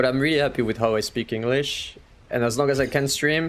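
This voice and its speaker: Speaking at a moderate pace, a man with a strong French accent shows ordinary pitch variation. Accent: French accent, quite strong. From France. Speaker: gaming streamer. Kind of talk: casual live-stream chat.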